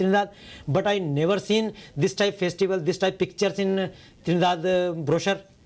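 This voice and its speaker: The speaker talks at a very fast pace with an Indian accent and fairly even intonation, against a quiet background. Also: man. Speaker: poet. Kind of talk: interview answer.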